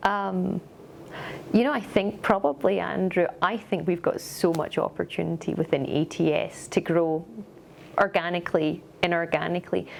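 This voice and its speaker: Her voice sits fairly low and shows vocal fry. The woman speaks at a moderate pace with ordinary pitch variation. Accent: Scottish. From Scotland. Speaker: company executive. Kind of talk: corporate interview.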